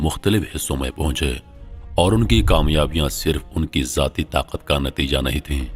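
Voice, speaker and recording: With music in the background, a man talks in a very deep, low pitch. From Pakistan. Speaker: voice over artist. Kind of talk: documentary narration.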